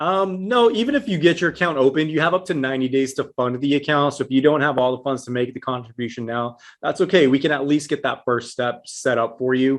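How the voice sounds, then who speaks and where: A fairly high-pitched man with an American accent speaks very fast with hardly any pauses. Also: ordinary pitch variation. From Texas, El Paso. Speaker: IRA specialist. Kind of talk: interview.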